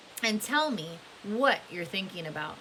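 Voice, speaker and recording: Using a put-on character voice, a woman drawls at a moderate pace and medium pitch with very wide pitch swings, over clear background noise. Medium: read story. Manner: slow drawl.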